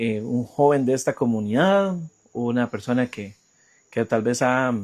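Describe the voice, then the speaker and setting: Speaking with a Costa Rican accent at a fairly slow pace, a man uses a medium pitch on a very clean recording with a silent background. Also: ordinary pitch variation. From Costa Rica, Puriscal. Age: 30s. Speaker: journalist. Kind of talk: interview. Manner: halting.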